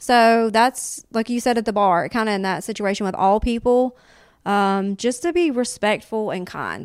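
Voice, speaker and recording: A woman speaks with a Southern US accent at a moderate pace and with ordinary pitch variation. The recording is very clean, with a silent background. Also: fairly high pitch for a woman. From US South. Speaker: comedian.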